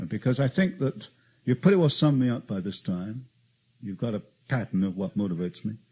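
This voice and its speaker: In an American accent, a man with a medium pitch and a dark, mellow tone speaks at a fairly quick pace, somewhat breathy, with very wide pitch swings. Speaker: author and researcher. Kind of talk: talk to an audience. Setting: meeting with audience.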